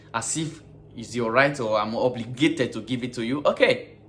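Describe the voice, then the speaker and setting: Noticeable background noise sits behind a man speaking with an African accent. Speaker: vlogger and gas station worker. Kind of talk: casual vlog monologue.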